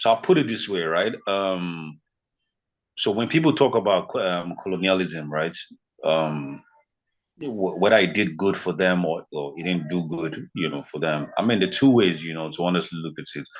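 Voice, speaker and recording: A very deep, low male voice with ordinary pitch variation, on a very clean recording with a silent background. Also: moderate pace. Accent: Nigerian. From Nigeria, western (Yoruba). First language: Yoruba. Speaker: fitness consultant. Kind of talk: podcast interview. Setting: podcast. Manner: animated, conversational with fillers.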